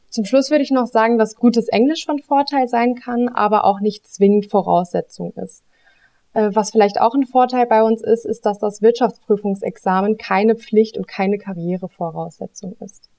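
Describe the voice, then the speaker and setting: A woman's fairly high voice with a dark, mellow tone, ordinary pitch variation and a moderate pace, in a dry, close sound with no echo. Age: 20s. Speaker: auditing consultant. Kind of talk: interview, explaining job.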